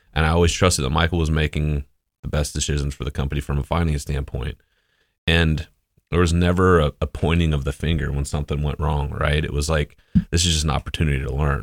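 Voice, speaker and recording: Speaking very fast, a man uses a monotone, flat intonation with vocal fry. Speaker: business owner. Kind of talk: interview. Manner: even-keeled.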